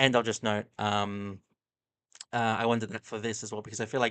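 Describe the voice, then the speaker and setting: A man talks in an Australian accent at medium pitch. His pace is moderate. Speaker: streamer reacting to videos. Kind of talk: casual live-stream commentary. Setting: live stream. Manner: halting, many fillers.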